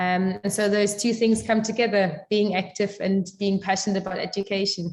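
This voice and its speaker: Her voice somewhat breathy, a woman speaks at medium pitch and a moderate pace in a monotone, flat intonation. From East Germany. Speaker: civic education worker. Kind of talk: interview. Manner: halting, many fillers.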